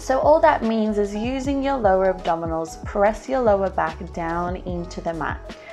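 The voice moves at a moderate pace over faint music in the background. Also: woman. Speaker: pilates instructor. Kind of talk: tutorial.

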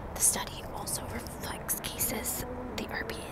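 A woman whispers in a breathy voice against loud background noise. The sound itself is dry, with no echo. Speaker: true crime narrator. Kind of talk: casual vlog chat reading case details. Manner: breathy ASMR whisper, hand near mouth. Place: street. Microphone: earbuds.

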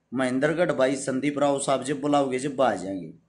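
A man with a Haryanvi accent, at a fairly slow pace. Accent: Haryanvi-accented Hindi. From Haryana, India. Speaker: social worker and YouTuber; YouTuber. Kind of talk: live stream address to followers. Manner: forceful, blunt delivery. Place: home room. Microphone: phone near.

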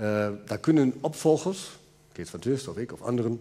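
At a fairly quick clip, a man talks with lively intonation and a dark, mellow tone. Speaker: museum director. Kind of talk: interview. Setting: stage with audience. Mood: relaxed, explaining with gestures. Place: stage. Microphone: headset.

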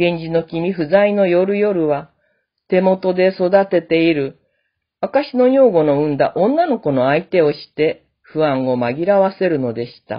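A woman with an unremarkable speaking voice talks at a fairly slow pace, her fairly low pitch carrying lively intonation and big swings in loudness. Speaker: classical literature lecturer. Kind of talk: lecture.

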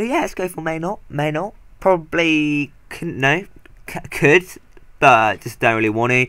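A man speaks at a medium pitch with ordinary pitch variation. His tone is fairly bright, clear and smooth.

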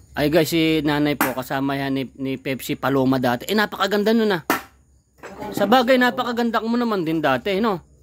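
A man speaks fairly quickly at a fairly high pitch, with very wide pitch swings. The sound is dry with no echo, though noticeable background noise is present. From Philippines. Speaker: vlogger interviewing a guest. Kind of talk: casual chat. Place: garden. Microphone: phone near.

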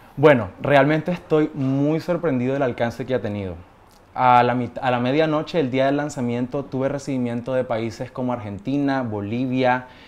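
With fairly even intonation, a man talks at a medium pitch and a moderate speed. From Nicaragua, Managua; Nicaragua. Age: 20s. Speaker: singer-songwriter; interviewee. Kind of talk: TV interview. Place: studio. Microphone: lapel.

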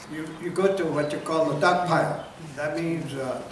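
Noticeable background noise and audible room echo behind a man's voice. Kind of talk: informal storytelling to a group. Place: hall. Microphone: camera far.

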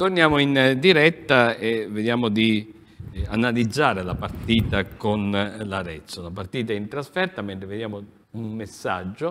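With lively intonation and big swings in loudness, a man talks at a fairly slow pace over light background noise. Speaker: TV sports talk show host. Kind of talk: sports talk show discussion. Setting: TV studio. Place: studio. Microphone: lapel.

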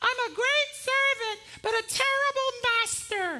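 A put-on character voice speaks at an extremely high pitch. The pace is fairly slow.

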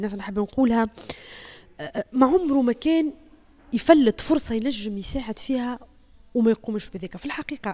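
A woman with a Tunisian accent speaks in a high voice, her loudness swinging widely and her speech broken by long, frequent pauses. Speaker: TV journalist; journalist. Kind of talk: testimony. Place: home room. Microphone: handheld.

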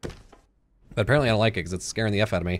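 This man speaks at a fairly quick pace with ordinary pitch variation. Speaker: gaming YouTuber. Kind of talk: casual gameplay commentary. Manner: animated, joking, chatty. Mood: playful, mock-scared.

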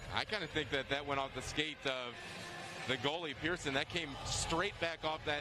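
The speech moves at a moderate pace over noticeable background noise, the sound dry with no echo. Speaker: color analyst. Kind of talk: live commentary.

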